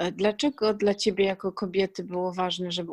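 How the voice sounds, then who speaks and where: On a very clean recording with a silent background, a woman at medium pitch speaks with monotone, flat intonation. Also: dry, close sound with no echo. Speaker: podcast host and blogger. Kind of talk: casual interview.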